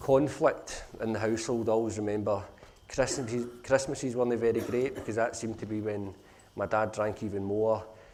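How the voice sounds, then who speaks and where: A man talks at a moderate pace with a Glasgow accent, his pitch medium and ordinarily varied. Room echo can be heard. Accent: Glasgow (Govan). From Scotland, Glasgow (Govan). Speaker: social enterprise founder. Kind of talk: conference talk, personal story. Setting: conference stage with audience.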